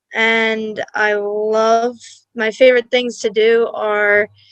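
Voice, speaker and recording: Dry and close with no echo, a woman speaks at a fairly high pitch with a Long Island accent. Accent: Long Island New York. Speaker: college student. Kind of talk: casual interview. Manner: hesitant, filler-heavy.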